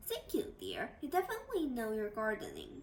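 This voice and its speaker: In a put-on character voice at an extremely high pitch, a woman speaks at a fairly quick pace with very wide pitch swings over clear background noise. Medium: read story. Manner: warm, motherly.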